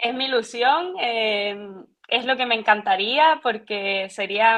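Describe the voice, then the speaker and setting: At a very slow pace, a woman speaks. Her pitch is fairly high. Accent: Canarian. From Canary Islands, Tenerife. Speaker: physiotherapist. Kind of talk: podcast interview. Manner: halting, frequent repetitions.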